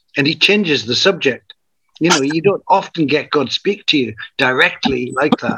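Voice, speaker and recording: A man with a Northumbrian accent and a bright, sharp tone speaks at a fairly quick pace and fairly high pitch, with ordinary pitch variation. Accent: northern English, Northumbrian. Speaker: community founder, spiritual teacher. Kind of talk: interview conversation with storytelling.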